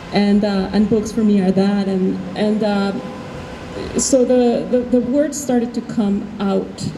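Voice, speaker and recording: A woman's medium-pitched voice with a Spanish accent, fairly even intonation and a fairly slow pace, plus audible room echo and noticeable background noise. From Mexico City. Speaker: artist. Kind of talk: panel discussion. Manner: halting.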